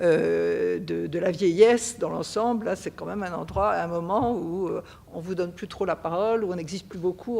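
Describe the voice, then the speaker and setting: Amid noticeable background noise, a woman speaks at a moderate pace with a fairly low pitch and ordinary pitch variation. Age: 70s. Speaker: association vice-president, retiree. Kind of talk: panel talk at a public session. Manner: hesitant, many fillers.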